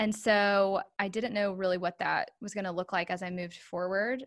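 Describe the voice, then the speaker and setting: In an American accent, a woman speaks in an unremarkable speaking voice at a medium pitch and moderate pace, with fairly even intonation, on a very clean recording with a silent background. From North Carolina, Charlotte area. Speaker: transition consultant, former special educator. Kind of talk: casual interview chat.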